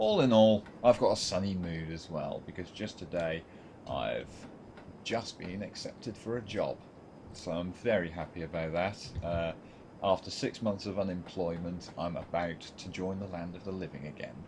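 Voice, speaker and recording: A man talks at a moderate pace with a very deep, low pitch and ordinary pitch variation, leaving long, frequent pauses. His loudness swings widely over noticeable background noise. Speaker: gaming commentator. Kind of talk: casual gameplay commentary. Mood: happy, relaxed. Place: home room. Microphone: webcam.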